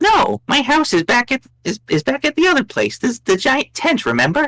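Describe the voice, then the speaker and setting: Speaking in a put-on character voice, a man pushes his pitch extremely high. The pace stays moderate. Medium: actual play. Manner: smug, teasing.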